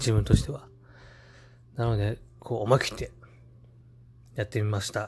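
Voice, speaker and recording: With fairly even intonation, a man speaks with long, frequent pauses. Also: medium pitch for a man, moderate pace. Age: 30s. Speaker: podcast host. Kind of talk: casual monologue. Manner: halting, many fillers.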